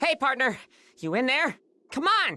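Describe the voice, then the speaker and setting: This put-on character voice sits high in pitch, with very wide pitch swings, an energetic tone and a moderate pace. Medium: video game. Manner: casual, energetic.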